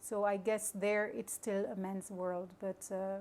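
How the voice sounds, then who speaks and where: Speaking at a fairly slow pace, a woman with a French accent holds a medium pitch and fairly even intonation. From Luxembourg, grew up near the border. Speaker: maritime company crew officer. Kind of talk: interview. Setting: hotel event venue. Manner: halting, many fillers.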